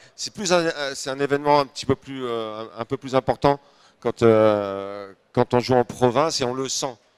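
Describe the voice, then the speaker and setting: The sound is dry and close, with no echo, in a very clean recording with a silent background. Pitch varies in an ordinary way at a moderate pace. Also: man, medium pitch for a man. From northern France (Nord). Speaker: comedian. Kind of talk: interview. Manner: hesitant, many fillers.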